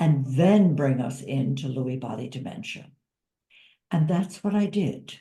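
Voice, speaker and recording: Somewhat breathy, dark and mellow woman's voice, very deep and low in pitch, with lively intonation at a fairly slow pace. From US, Italian-American family. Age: 70s. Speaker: author and caregiver. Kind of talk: interview.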